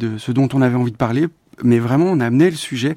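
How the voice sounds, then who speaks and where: The man's dark, mellow voice sits at a medium pitch and shows ordinary pitch variation. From Belgium. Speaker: film director. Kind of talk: interview. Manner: halting.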